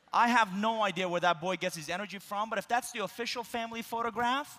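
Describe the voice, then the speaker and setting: With a Persian accent, the raised, projected voice has a bright, sharp tone and moves at a fairly quick pace. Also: man. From Iran. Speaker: keynote speaker. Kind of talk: keynote speech. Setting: conference stage with audience.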